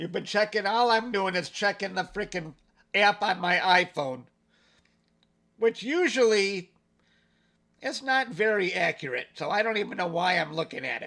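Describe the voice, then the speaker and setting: Speaking with an American accent, a man raises and projects his high-pitched voice, his tone bright and sharp. He keeps a moderate pace with long, frequent pauses, and the recording is very clean with a silent background. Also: ordinary pitch variation. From Detroit area, Michigan. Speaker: amateur astronomer livestreamer. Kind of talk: live stream commentary. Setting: live stream. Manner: casual, conversational.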